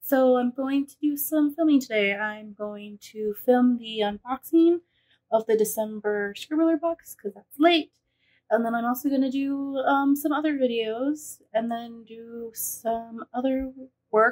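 Against a quiet background, a woman speaks fairly slowly in a high pitch, with ordinary pitch variation and big swings in loudness. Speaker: vlogger. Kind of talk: casual vlog chat. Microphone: phone near.

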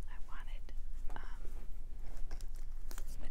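A woman is speaking. Loud noise fills the background. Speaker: ASMR artist, author and oracle card reader. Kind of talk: ASMR crystal tapping and soft whispered reading. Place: home room. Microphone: phone near.

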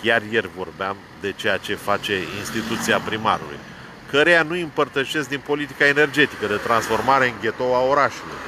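Over noticeable background noise, a man talks at a moderate pace with lively intonation, and the sound is dry with no echo. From Romania, Brăila; Romania. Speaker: vlogger, political commentator. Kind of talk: rant / monologue. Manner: animated. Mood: argumentative, critical. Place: car. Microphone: phone near.

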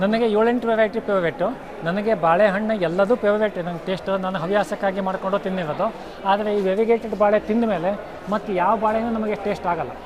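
A man's high-pitched voice with fairly even intonation, audible room echo and crowd noise in the background. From Uttara Kannada, Karnataka, India. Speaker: farmer. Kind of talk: interview.

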